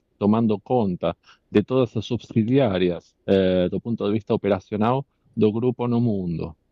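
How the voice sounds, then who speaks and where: A man speaks with a non-native accent. His voice is fairly low, with ordinary pitch variation. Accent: foreign accent in Portuguese. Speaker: company director testifying as defendant. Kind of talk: court testimony. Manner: halting.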